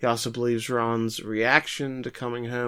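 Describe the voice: The clip is plain reading aloud. Nothing more is added to the reading.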